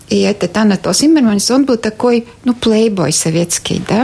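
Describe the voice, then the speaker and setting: Noticeable background noise accompanies a woman at a medium pitch. She speaks at a fairly slow pace. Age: 50s. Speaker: journalist and TV presenter. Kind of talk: casual interview. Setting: studio. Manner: halting.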